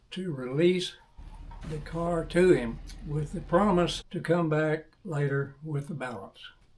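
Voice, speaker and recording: A man with a Texan accent speaks fairly slowly at a fairly high pitch, with ordinary pitch variation. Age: 80s+. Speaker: classic car owner. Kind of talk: reading prepared statement.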